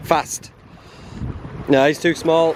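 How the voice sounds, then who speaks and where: A man with a North Yorkshire accent at a very slow pace, over noticeable background noise. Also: dry, close sound with no echo. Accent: Whitby (North Yorkshire). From Whitby, North Yorkshire, England. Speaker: bushcraft and wild camping YouTuber. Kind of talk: casual talk to camera.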